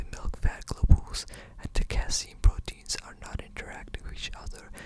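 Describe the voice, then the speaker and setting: Whispered speech at a moderate pace comes through noticeable background noise. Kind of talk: ASMR reading of an encyclopedia article. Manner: whispering.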